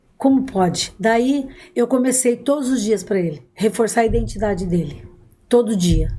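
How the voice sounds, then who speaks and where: At a moderate pace, a woman speaks in a fairly high, somewhat breathy voice with a dark, mellow tone and ordinary pitch variation. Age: 60s. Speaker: adoptive mother. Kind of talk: podcast interview.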